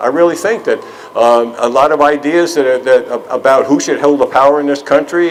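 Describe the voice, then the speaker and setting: Noticeable background noise surrounds a man speaking fairly quickly at a fairly high pitch. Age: 70s. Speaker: activist speaker for a veterans' peace group. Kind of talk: rally speech. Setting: outdoors. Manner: halting.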